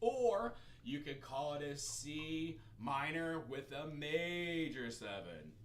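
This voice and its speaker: A man talks with a fairly high pitch and ordinary pitch variation. Room echo can be heard. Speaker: music teacher. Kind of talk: music theory livestream lesson. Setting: live stream.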